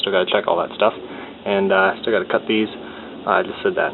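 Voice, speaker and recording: There is noticeable background noise. Through it, a man speaks at a fairly low pitch. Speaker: home car mechanic. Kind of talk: casual how-to talk to camera.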